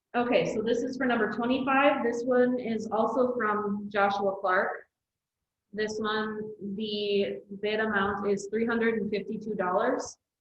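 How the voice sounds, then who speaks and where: A woman speaks fairly slowly in a fairly high pitch. Her intonation is monotone and flat, and room echo is audible. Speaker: county staff reading bids. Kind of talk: public meeting. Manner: soft-spoken.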